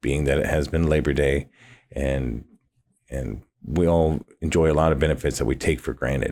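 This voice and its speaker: A man's very deep, low voice with vocal fry and fairly even intonation, at a moderate pace with long, frequent pauses, in a very clean recording with a silent background. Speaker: podcast host. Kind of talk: podcast monologue intro. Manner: hesitant, many fillers and restarts; mouth clicks.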